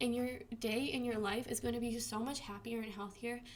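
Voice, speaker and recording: A woman's high-pitched voice at a fairly quick pace, with audible room echo. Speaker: vlogger with Crohn's disease. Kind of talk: casual vlog tips. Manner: fast; casual, filler-heavy.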